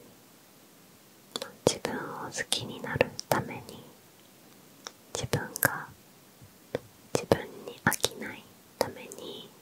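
A soft-spoken woman whispers at a very slow pace, the sound dry with no echo over light background noise. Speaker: ASMR creator. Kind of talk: casual Q&A chat. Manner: soft close-mic whisper. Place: home room. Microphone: handheld.

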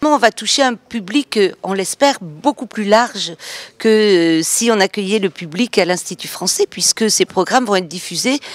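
Speaking at a moderate pace, a woman is heard in a dry recording with no echo. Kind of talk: interview answer. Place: hall. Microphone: handheld.

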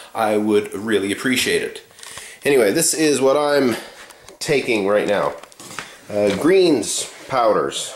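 A man speaks over noticeable background noise. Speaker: muscle building coach. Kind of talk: casual talk to camera.

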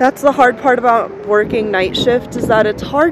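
Loud background noise fills a dry recording with no echo. The speaker keeps a moderate pace with ordinary pitch variation. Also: woman. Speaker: truck driver vlogger. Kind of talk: casual vlog chat. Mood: happy, relaxed. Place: open country. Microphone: phone near.

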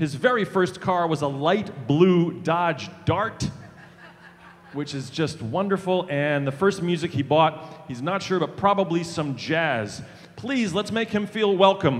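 Talking at a fairly slow pace, a man uses a high pitch with ordinary pitch variation. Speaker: rally emcee. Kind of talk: stage introduction. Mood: light, humorous. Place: stage. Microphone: handheld.

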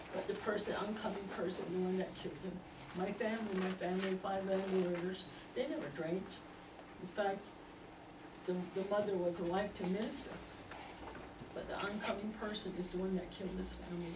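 A woman at a fairly quick pace over noticeable background noise. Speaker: member of the public giving comment. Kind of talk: public comment at a meeting. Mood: earnest, emotional. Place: meeting room. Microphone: camera far.

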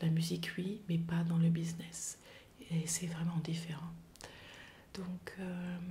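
A woman's fairly low, somewhat breathy voice, dark and mellow in tone, with monotone, flat intonation, a fairly slow pace and light background noise. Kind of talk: personal testimony to camera. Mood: reflective, calm, somewhat somber.

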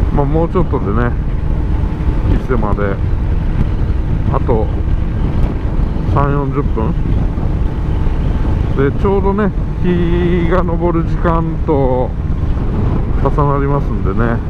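Against loud background noise, the speech moves at a very slow pace with long, frequent pauses. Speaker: motovlogger. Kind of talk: casual vlog chat. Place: motorbike.

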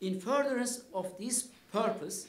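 A man with a Turkish accent speaks with lively intonation, and audible room echo surrounds his voice. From Turkey, Kars; Turkey. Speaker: history professor. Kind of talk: lecture. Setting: lecture hall with audience. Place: hall. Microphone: podium.

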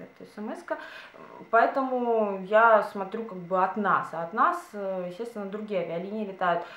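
A woman speaks with a bright, sharp tone. Audible room echo surrounds her voice. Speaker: beauty and lifestyle vlogger. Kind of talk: casual chat. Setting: home video, by a window. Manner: chatty, informal. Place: home room. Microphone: camera far.

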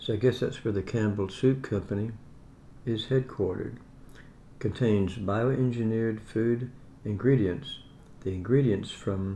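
A somewhat breathy man speaks with fairly even intonation. Light background noise can be heard. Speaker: home food reviewer. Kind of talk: casual vlog chat. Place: home room. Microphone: phone near.

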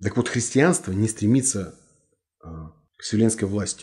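Over a quiet background, a somewhat breathy voice with a dark, mellow tone speaks at a fairly slow pace. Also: man. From Russia. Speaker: writer and martial arts master; interview guest. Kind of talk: interview. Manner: blunt. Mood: earnest, argumentative. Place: office. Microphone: lapel.

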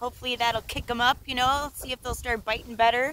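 Light background noise sits behind a woman's voice. The sound is dry, with no echo. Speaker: fishing vlogger. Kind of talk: casual vlog chat. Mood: cheerful, laughing. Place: waterside. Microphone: phone near.

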